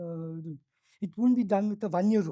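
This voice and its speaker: In a very clean recording with a silent background, a woman with a Tamil accent speaks in a dark, mellow tone with ordinary pitch variation and a dry, close sound with no echo. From South India. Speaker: business school professor. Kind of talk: workshop panel talk.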